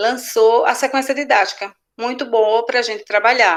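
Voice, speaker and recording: A woman talks in a fairly high voice. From Northeast Brazil, Alagoas. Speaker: teacher. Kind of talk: online class. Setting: video call. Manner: halting.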